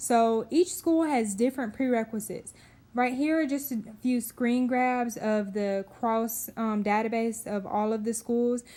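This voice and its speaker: The recording is very clean with a silent background. A woman speaks at a fairly high pitch with fairly even intonation. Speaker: physical therapy student vlogger. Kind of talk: voiceover tutorial. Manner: fast.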